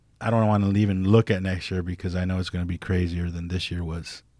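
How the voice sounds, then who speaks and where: On a very clean recording with a silent background, a man with an American accent speaks at a fairly quick pace in a very deep, low pitch with monotone, flat intonation. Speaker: tattoo artist. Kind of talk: casual interview chat. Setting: studio.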